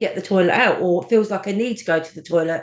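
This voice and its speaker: A plain, everyday voice from a woman, medium in pitch with ordinary pitch variation, over a quiet background. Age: 40s. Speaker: cancer survivor with a stoma. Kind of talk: podcast interview, personal story.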